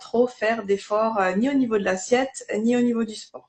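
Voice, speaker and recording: Fairly even in intonation, a woman with a fairly high, somewhat breathy voice talks at a moderate pace with a slight Alsatian accent. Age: 30s. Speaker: network marketing distributor. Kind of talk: live interview testimony. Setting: livestream.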